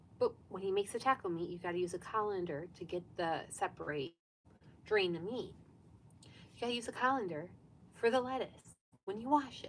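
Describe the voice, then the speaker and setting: Soft-spoken, a woman talks at a fairly quick pace in a medium pitch. Her intonation is lively, broken by long, frequent pauses. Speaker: sewing vlogger. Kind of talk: live stream sewing chat. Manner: casual, chatty.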